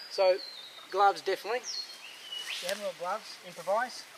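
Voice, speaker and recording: There is noticeable background noise behind this man's voice. He has an Australian accent and ordinary pitch variation. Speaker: bushcraft vlogger. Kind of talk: outdoor tutorial. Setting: outdoors in a forest. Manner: hesitant, repeats words; soft-spoken.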